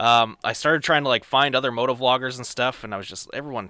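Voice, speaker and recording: Speaking at a very fast pace, a man with a Canadian accent has a bright, sharp tone and fairly even intonation on a very clean recording with a silent background. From Canada. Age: 30s. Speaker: stunt rider. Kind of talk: casual chat.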